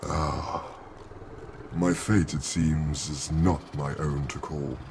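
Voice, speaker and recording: A man uses a put-on character voice, very deep and low, at a very slow pace. Clear background noise can be heard. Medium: video game. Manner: formal, grave.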